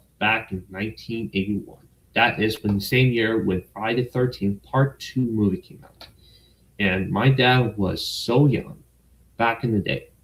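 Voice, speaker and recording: Speaking in an ordinary speaking voice with an American accent, a man keeps a medium pitch, ordinary pitch variation and a fairly slow pace. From United States. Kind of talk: casual livestream talk to camera.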